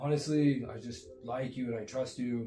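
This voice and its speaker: A man talks in fairly even intonation while noticeable noise fills the background. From Jamaica and Miami, Florida. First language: Jamaican Patois. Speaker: podcast host. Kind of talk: casual chat.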